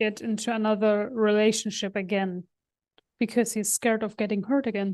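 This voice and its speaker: A woman with a German accent speaks at a fairly quick pace in monotone, flat intonation. The background is quiet. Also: fairly high pitch for a woman. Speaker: podcast co-host. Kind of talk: casual chat.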